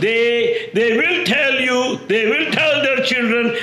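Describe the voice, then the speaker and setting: A man projects a raised voice at an extremely high pitch, with ordinary pitch variation and a very slow pace. Noticeable background noise is present. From India. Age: 60s. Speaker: self-proclaimed messiah preacher. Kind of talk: religious monologue. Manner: halting, with frequent repetitions and fillers.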